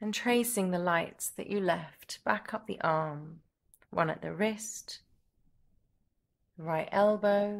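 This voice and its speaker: At a very slow pace with long, frequent pauses, a woman speaks in a calm, soothing tone at medium pitch with ordinary pitch variation. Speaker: yoga teacher / meditation guide. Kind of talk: guided yoga nidra relaxation. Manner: slow, calm, soothing.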